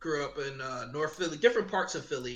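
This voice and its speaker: A man's voice with fairly high pitch. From Philadelphia. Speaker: podcast co-host and military veteran. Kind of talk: casual chat.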